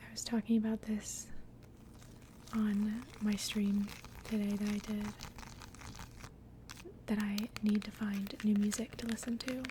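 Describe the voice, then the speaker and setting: Relaxed, monotone woman's voice with flat intonation and long, frequent pauses over noticeable background noise. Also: medium pitch for a woman, fairly slow pace. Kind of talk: ASMR soft spoken and whispering. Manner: soft-spoken, relaxed.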